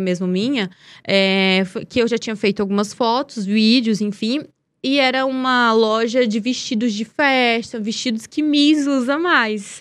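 A woman speaks at a fairly high pitch with ordinary pitch variation, on a very clean recording with a silent background. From Brazil, Piauí (Teresina). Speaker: model and beauty pageant winner. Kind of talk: casual interview. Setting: studio.

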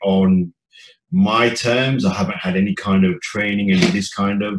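Speaking fairly slowly with an East Midlands accent, a man uses a fairly low pitch and ordinary pitch variation. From English Midlands, Leicester. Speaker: chef and former DJ. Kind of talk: casual chat.

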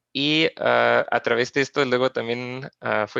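Speaking with a German accent, a man keeps a fairly slow pace. The sound is dry and close, with no echo. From Austria, Graz. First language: German (speaking Spanish). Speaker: geographer, researcher. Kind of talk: interview. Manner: halting, many fillers and repetitions.

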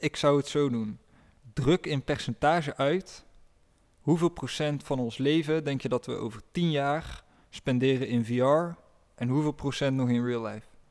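An ordinary speaking voice from a fairly high-pitched man at a fairly slow pace, with ordinary pitch variation, in a very clean recording with a silent background. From Netherlands, village. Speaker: podcast co-host. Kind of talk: casual chat.

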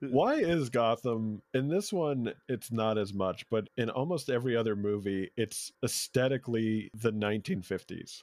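A man's medium-pitched voice, a plain, everyday voice, with ordinary pitch variation and hardly any pauses, in a very clean, dry, close recording with no echo and a silent background. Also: fairly slow pace. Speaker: comedian. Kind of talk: casual chat.

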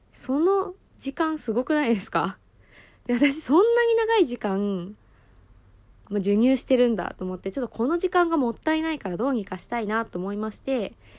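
Her high-pitched voice swings very widely in pitch and shows big swings in loudness as the woman talks at a moderate pace. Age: 20s. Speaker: podcast host, new mother on parental leave. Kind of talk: casual solo podcast talk.

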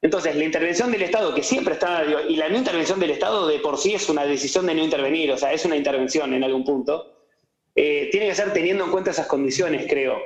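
Audible room echo surrounds a man with a fairly high pitch who speaks at a very fast pace and very even loudness. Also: ordinary pitch variation. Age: young. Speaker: economist. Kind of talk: casual interview.

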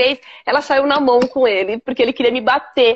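A woman speaks at a high pitch. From São Paulo, Brazil (Capão Redondo). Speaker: businesswoman. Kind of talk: casual interview on a live stream. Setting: online live stream video call. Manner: halting, many repetitions.

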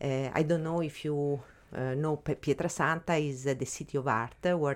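A woman's very deep, low voice with an Italian accent, in a monotone, flat intonation at a moderate pace, on a very clean recording with a silent background. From Italy. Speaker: art gallery co-founder. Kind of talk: interview. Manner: halting.

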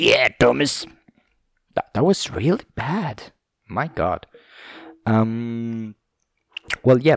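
A man's medium-pitched voice, dry and close with no echo, lively intonation, a very slow pace and long, frequent pauses. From southern Italy. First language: Italian. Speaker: podcast host. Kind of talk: casual monologue. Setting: home recording with camera. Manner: halting.

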